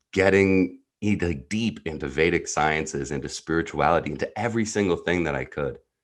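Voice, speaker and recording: A man's very deep, low voice with a New Jersey accent and vocal fry, over a quiet background. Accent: American, New Jersey. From US Northeast (New Jersey). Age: 30s. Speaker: entrepreneurial neuropsychologist, coach. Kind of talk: podcast interview, personal story.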